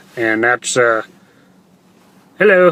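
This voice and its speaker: A man with a slight Texas accent and a bright, sharp tone speaks at a fairly slow pace. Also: dry, close sound with no echo. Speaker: online entrepreneur vlogger. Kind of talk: livestream monologue. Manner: halting, many fillers.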